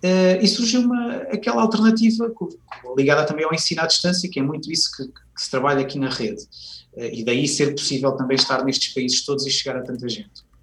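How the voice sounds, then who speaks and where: A man with a fairly high pitch talks at a fairly quick pace, his pitch swinging very widely over noticeable background noise. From Portugal, Viseu. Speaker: university professor and education manager. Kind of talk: radio interview.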